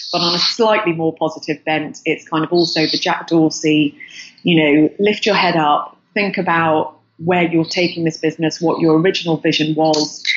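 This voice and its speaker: With a very deep, low pitch, this woman talks at a moderate pace in a flat, monotone delivery at very even loudness. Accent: English. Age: 40s. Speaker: entrepreneur, business founder. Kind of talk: interview.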